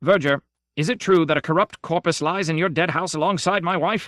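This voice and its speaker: A man bellows in a put-on character voice, pitched high. He moves at a fairly quick pace with fairly even intonation. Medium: read story. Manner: bellowing, imperious.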